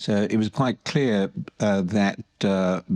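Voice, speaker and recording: In a British accent, a man speaks at a fairly slow pace with a fairly low pitch and ordinary pitch variation. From United Kingdom. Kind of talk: interview. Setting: recorded at a medical congress. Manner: halting, many fillers.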